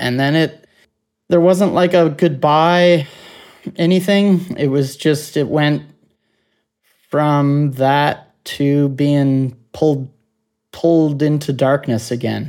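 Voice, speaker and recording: In a Cape Breton accent, a man speaks at a very slow pace with long, frequent pauses, fairly even intonation, and a fairly high pitch. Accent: Cape Breton Canadian. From Cape Breton Island, Nova Scotia, Canada. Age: 30s. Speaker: near-death experiencer. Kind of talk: testimony.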